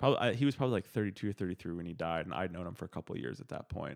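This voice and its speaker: A man talks with ordinary pitch variation. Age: 20s. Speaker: improv student. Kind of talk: casual chat.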